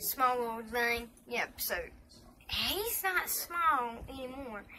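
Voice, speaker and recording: A woman's raised, projected voice in an American accent, high-pitched with lively intonation at a very slow pace, over light background noise. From US South. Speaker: vlogger. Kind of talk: casual vlog. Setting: indoors by a heater. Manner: halting. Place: home room. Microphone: phone near.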